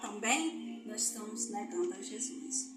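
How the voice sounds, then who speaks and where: Over music in the background and audible room echo, a woman speaks in an animated tone with a Brazilian accent. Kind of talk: Bible quiz with preaching.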